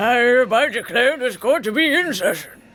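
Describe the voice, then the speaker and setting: In a put-on character voice at a fairly high pitch, the speaker talks at a moderate pace over faint background music. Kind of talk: formal, authoritative.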